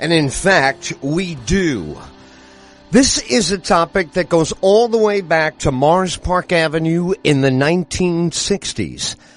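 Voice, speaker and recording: A man speaks with an American accent at a high pitch and a very slow pace. His loudness stays very even, his pitch varies in an ordinary way, and music plays in the background. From United States, Pennsylvania. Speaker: talk radio host. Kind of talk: radio interview, conversational.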